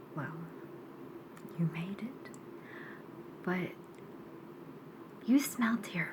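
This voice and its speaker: Against noticeable background noise, a woman of medium pitch speaks at a fairly slow pace with lively intonation. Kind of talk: ASMR roleplay, casual talk to camera. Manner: soft-spoken, conversational.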